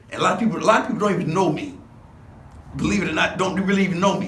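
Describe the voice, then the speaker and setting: Someone with an American accent talks at a very fast pace amid noticeable background noise and audible room echo. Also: man. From Los Angeles, US. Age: 60s. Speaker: former gang member. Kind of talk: interview. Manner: casual, halting.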